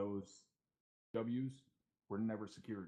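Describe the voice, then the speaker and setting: Soft-spoken, a man talks at a very slow pace with fairly even intonation. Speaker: milsim gamer, first sergeant role. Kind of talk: mission debrief.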